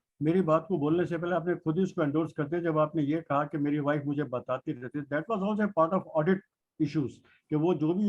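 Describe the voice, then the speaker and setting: The man has a plain, everyday voice, fairly high in pitch with fairly even intonation. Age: 60s. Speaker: participant listener. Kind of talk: discussion.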